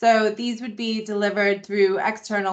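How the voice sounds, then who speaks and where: A woman speaks with a Boston accent. Her pitch is medium and her pace moderate. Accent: Boston American. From US Northeast, Boston. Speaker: membership engagement manager. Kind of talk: online induction presentation.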